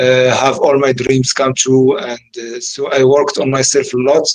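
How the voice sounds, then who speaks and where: A man talks with an Arabic accent. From Morocco. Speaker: engineer turned entrepreneur. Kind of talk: interview. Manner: halting, many fillers and repetitions.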